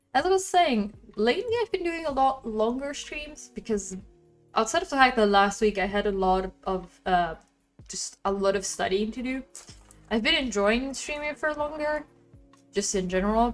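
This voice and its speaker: Over music in the background, a woman with a fairly high pitch speaks at a moderate pace, her pitch swinging very widely. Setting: streaming online.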